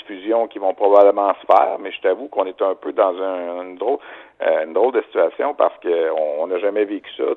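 A Quebec accent at a moderate pace. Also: man. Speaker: sports broadcaster. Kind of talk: phone interview. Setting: at home. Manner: halting.

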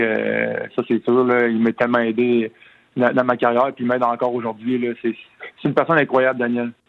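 Fairly quick speech from a man at a medium pitch. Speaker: retired hockey player. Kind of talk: phone interview. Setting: phone call. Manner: halting, many repetitions.

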